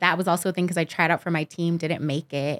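With a Californian accent, a woman talks fairly quickly in a very deep, low, flat monotone, recorded dry and close with no echo on a very clean track with a silent background. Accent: Californian American English. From Los Angeles. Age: 30s. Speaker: professional dancer and choreographer. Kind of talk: casual interview.

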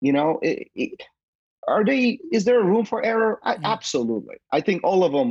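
The speaker has a slight Polish accent and a fairly quick pace. Loudness is very even, and the sound is dry and close with no echo. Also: man. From Poland. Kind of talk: casual interview chat.

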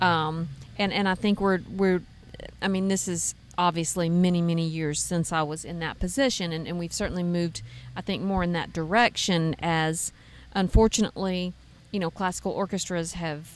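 In a Tennessee accent, a woman speaks at a moderate pace with fairly even intonation. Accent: Southern US (Tennessee). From East Tennessee, raised partly in Texas. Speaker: bluegrass fiddler and songwriter. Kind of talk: casual interview chat. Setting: backstage at outdoor festival.

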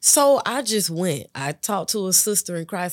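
In an unremarkable speaking voice, a woman with a fairly low pitch talks at a moderate pace on a very clean recording with a silent background. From West Palm Beach, Florida and Georgia. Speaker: hair stylist. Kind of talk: testimony.

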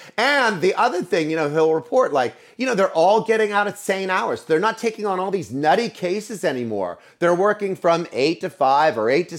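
Talking at a fairly quick pace with hardly any pauses, a man uses a high pitch and lively intonation in a very clean recording with a silent background. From Pennsylvania, US (Altoona). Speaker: veterinary management consultant. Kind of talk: interview. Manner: casual, animated.

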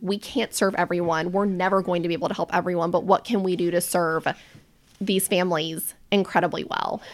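A normal speaking voice with an American accent moves at a fairly quick pace with fairly even intonation, in a very clean recording with a silent background. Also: woman. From US South, Charlotte, North Carolina. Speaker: behavior analysis business owner. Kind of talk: casual chat.

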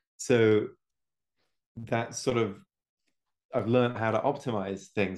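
Against a quiet background, a man with an English accent speaks at a moderate pace and medium pitch. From England. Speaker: homebrewing video creator. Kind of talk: casual chat.

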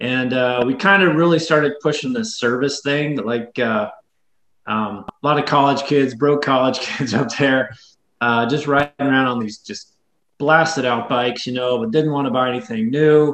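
With an American accent, a man has an unremarkable speaking voice, talking at a moderate pace and medium pitch with ordinary pitch variation. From US South, West Tennessee. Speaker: bike shop owner and mechanic. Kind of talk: casual interview.

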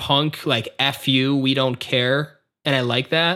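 The recording is very clean with a silent background. A man speaks in a bright, sharp tone. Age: young. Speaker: music podcast host. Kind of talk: casual chat.

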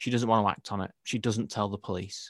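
In a quiet background, a man uses an ordinary speaking voice at medium pitch with fairly even intonation. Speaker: podcast host. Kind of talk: casual chat.

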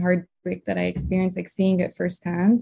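A woman speaks at a fairly quick pace in a somewhat breathy, medium-pitched voice with a dark, mellow tone. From Lebanon. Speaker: medical student. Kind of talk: interview.

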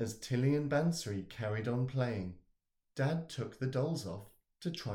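Over a quiet background, the text is read plainly aloud with lively intonation.

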